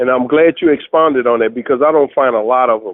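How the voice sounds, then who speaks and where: At a fairly quick pace, a man speaks in a New Orleans accent at a medium pitch. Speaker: chef. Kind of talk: interview answer.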